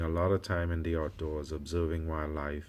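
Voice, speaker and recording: In a West Indian accent, a man speaks at a moderate pace with a very deep, low pitch and fairly even intonation, on a very clean recording with a silent background. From West Indies. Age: 50s. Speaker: doctor and vlogger. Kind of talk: personal vlog. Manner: hesitant, many fillers.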